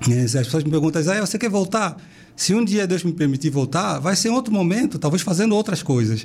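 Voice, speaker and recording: Talking at a fairly quick pace, a man with a high pitch makes very wide pitch swings while keeping his loudness very even. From Angola, Benguela. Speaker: missionary. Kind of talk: interview.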